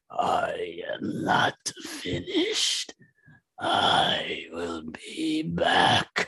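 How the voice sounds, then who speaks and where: A man puts on a menacing character voice. He speaks at a very slow pace. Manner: menacing, ominous.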